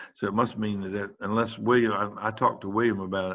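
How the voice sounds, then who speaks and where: With fairly even intonation, an unremarkable speaking voice carries the words. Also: man. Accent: American. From US South. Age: 60s. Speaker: pediatrician. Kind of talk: lecture. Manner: casual, conversational.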